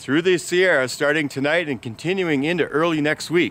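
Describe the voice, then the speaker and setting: A man with a bright, sharp tone and ordinary pitch variation is heard in a dry sound with no echo. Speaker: local news vlogger. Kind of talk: casual vlog news report. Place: open country. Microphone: phone near.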